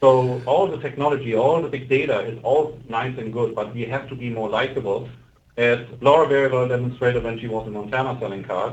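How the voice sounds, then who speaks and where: Over an audible room echo, a man talks at a fairly quick pace in a somewhat breathy voice with fairly even intonation. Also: medium pitch for a man. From Germany. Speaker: car reviewer and salesperson. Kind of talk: panel discussion.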